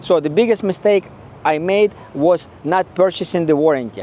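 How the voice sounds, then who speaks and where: In a Ukrainian accent, a man speaks with a high pitch. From Ukraine. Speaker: car owner vlogger. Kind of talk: casual video review.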